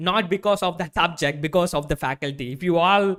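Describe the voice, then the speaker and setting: This man's voice is raised and projected, with a bright, sharp tone, a high pitch and ordinary pitch variation. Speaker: online course instructor. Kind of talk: live online class. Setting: livestream with live chat. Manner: fast.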